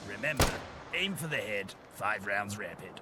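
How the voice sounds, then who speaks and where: Over loud background noise and sound effects, a man uses a put-on character voice pitched fairly low. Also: moderate pace. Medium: machinima. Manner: wry, theatrical, self-satisfied.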